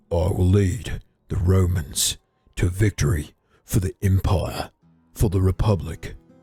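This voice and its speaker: A put-on character voice at a fairly slow pace, broken by long, frequent pauses, with faint music in the background. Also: man, very deep, low pitch for a man. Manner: heroic, proud.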